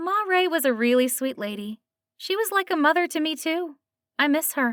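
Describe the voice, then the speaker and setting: A woman's put-on character voice, squeaky and extremely high, with a warm, gentle tone, very wide pitch swings and a moderate pace. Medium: read story.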